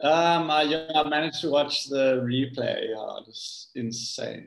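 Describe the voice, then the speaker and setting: A man with a South African accent talks at a fairly slow pace. His loudness swings widely. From South Africa, Cape Town. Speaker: big wave surfer. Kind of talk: casual chat.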